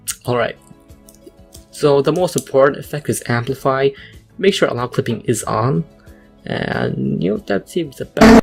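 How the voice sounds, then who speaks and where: Music plays in the background. The speech goes at a moderate pace with long, frequent pauses. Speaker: beat saber mapper. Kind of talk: casual tutorial narration.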